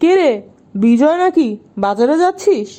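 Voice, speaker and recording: A woman puts on a character voice, pitched high with very wide swings. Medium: read story.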